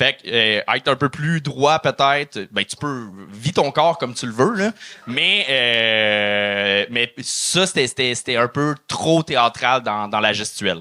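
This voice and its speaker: This man speaks at a fairly slow pace in a medium pitch, with an unremarkable speaking voice. His intonation is lively. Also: dry, close sound with no echo. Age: 30s. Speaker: comedian and guest judge. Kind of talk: casual critique of a comedian.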